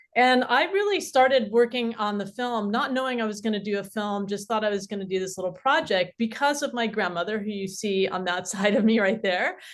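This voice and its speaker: A woman speaks fairly quickly at a fairly high pitch, with hardly any pauses and ordinary pitch variation. Background noise is noticeable. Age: 50s. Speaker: documentary filmmaker. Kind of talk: panel discussion.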